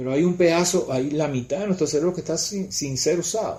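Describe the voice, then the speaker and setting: This man has a dark, mellow tone and sounds somewhat breathy. He talks at a fairly quick pace. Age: 60s. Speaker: spiritual teacher. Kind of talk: casual chat.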